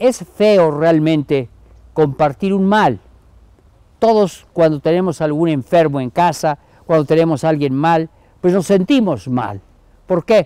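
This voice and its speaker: Against a quiet background with a dry sound and no echo, a man with a warm tone and a dark, mellow quality speaks at a fairly slow pace, his lively intonation broken by long, frequent pauses. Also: fairly high pitch for a man. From Mexico, Chiapas (Comitán); Chiapas, Mexico. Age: 80s+. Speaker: Jesuit priest, emeritus professor. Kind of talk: recorded message to university community. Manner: warm, informal. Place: garden. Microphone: lapel.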